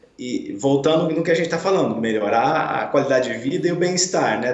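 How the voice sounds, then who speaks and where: A man speaks at a moderate pace with ordinary pitch variation, while audible room echo and noticeable background noise surround him. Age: 40s. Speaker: physiotherapist. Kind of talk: radio interview. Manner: hesitant, many filler sounds.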